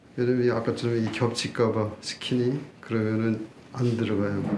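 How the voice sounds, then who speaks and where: Amid noticeable background noise and audible room echo, a man talks at a moderate pace in monotone, flat intonation. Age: 60s. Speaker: doctor. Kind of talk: live demonstration lecture. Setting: live seminar. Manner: casual.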